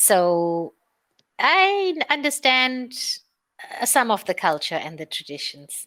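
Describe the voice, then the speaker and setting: A woman with an Indian accent speaks at a very slow pace, her high, bright, sharp voice making very wide pitch swings. Long, frequent pauses break up her speech. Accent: Indian-sounding. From South Africa. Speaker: online English teacher. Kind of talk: casual chat.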